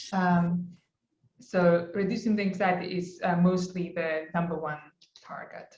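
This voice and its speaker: A woman with a non-native accent speaks at a fairly low pitch in a monotone, flat delivery, somewhat breathy, with big swings in loudness and audible room echo. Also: fairly slow pace. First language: not English. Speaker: clinical psychologist lecturer. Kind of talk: lecture. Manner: halting, many fillers.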